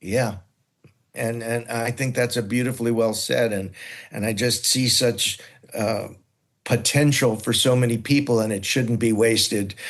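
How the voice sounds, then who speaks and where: A man with an American accent talks at a moderate pace in a medium pitch, his intonation monotone and flat, against a quiet background. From New York City. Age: 60s. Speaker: nonprofit program founder. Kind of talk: interview conversation. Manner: halting, repeats words.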